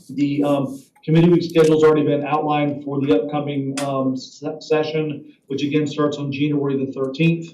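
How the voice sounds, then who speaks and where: This man talks at a fairly quick pace with a fairly high pitch. His intonation stays monotone and flat, and audible room echo surrounds him. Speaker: government lobbyist. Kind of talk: committee meeting report. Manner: fast.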